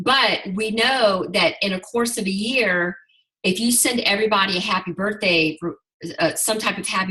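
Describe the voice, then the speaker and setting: The delivery comes in an unremarkable speaking voice at a fairly slow pace. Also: woman. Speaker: network marketing team leader. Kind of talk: group video call training.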